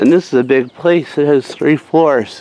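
Speaking at a fairly slow pace, a man keeps his intonation fairly even in a dry recording with no echo. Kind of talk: casual vlog chat. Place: street. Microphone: phone near.

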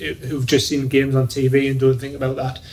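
Light background noise accompanies a man speaking somewhat breathily at a fairly slow pace. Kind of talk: interview answer. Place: office.

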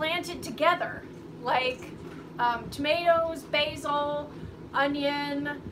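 Against clear background noise, a woman speaks slowly in a high pitch.

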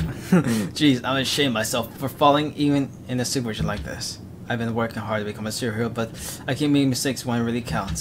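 The text is read aloud, and the voice sounds natural.

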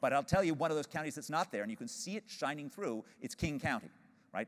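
Against a quiet background, a man speaks at a fairly high pitch with vocal fry. His pitch swings very widely. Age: 50s. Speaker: economics professor. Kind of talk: keynote lecture. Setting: stage with audience. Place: stage. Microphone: lapel.

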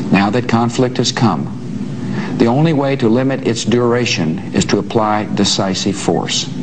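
There is noticeable background noise as a man speaks with ordinary pitch variation. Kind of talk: formal televised address. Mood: grave, solemn. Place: office.

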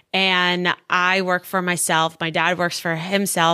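A woman with an American accent speaks at a medium pitch in a bright, sharp tone, recorded very cleanly against a silent background. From South Florida. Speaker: public speaker and entrepreneur. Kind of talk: interview.

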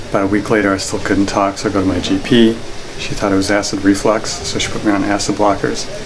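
A quiet, fairly low-pitched man at a very fast pace, flat and monotone, over noticeable background noise. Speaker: patient receiving treatment. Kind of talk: casual chat. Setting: treatment room. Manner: quiet, subdued at first. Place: home room. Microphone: camera far.

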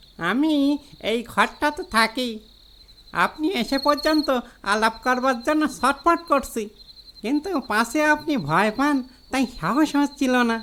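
A put-on character voice, pitched high and delivered at a moderate pace. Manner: gentle, sympathetic.

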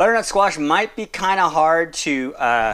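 A man speaks with a bright, sharp tone. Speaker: home cook demonstrating a recipe. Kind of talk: tutorial. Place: kitchen.

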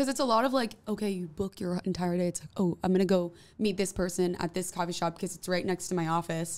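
Speaking very fast, a woman has an American accent. Her pitch varies in an ordinary way. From New Jersey. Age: 20s. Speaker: musician; interview guest. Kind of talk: casual interview. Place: studio. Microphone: studio mic.

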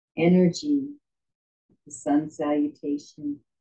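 A woman's very deep, low voice moves at a very slow pace with fairly even intonation and a dark, mellow, calm, soothing tone. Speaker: yoga instructor. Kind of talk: guided yoga class with meditation. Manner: calm, soothing, slow and gentle, giving cues in a steady rhythm; warm, reverent, spiritual. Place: home room. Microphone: camera far.

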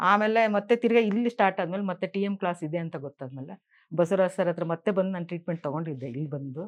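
Against a quiet background, a woman talks in a fairly low pitch with ordinary pitch variation. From Karnataka, Bengaluru. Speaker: retired stenographer, alternative therapy student. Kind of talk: testimony. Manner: halting.

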